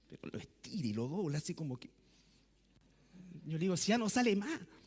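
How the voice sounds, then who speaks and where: A man speaks at a high pitch with very wide pitch swings. His loudness rises and falls sharply. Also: fairly quick pace. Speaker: pastor. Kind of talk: sermon. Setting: church. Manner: soft-spoken.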